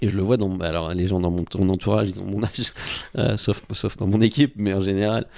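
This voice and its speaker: A man's fairly low, dark, mellow voice at a fairly quick pace, with fairly even intonation. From France, Normandy. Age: 40s. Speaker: sports marketing agency head. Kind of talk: casual chat. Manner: hesitant, many fillers.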